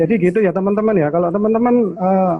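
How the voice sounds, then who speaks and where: A man with a strong Surabaya accent and ordinary pitch variation. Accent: strong East Javanese (Surabaya). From Indonesia, Surabaya (East Java). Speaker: channel host of investing live stream. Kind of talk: casual live-stream chat.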